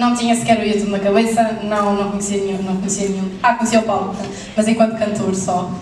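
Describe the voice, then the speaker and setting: Talking at a very fast pace in a flat monotone, a woman is heard with audible room echo and light background noise. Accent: Madeiran. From Madeira. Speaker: YouTuber. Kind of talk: panel Q&A. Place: hall.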